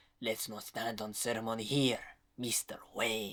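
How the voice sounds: A raspy, put-on character voice with low pitch at a moderate pace.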